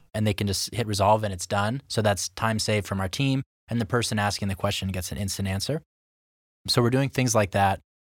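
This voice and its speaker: A man's fairly low-pitched voice, a normal speaking voice with ordinary pitch variation at a fairly quick pace, on a very clean recording with a silent background. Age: 20s. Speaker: tech company co-founder. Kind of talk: interview.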